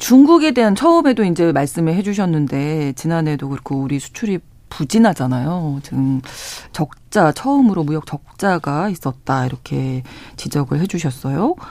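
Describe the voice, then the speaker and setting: A man speaks in a normal speaking voice with a fairly high pitch. His intonation is lively and his pace moderate. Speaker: radio announcer. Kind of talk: radio news talk show. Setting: studio.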